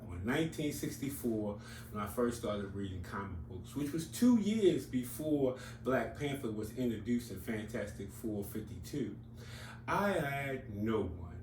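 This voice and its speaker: A man at a moderate pace and medium pitch, with ordinary pitch variation, audible room echo and noticeable background noise. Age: 60s. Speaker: comics YouTuber. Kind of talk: casual monologue. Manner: conversational, with fillers.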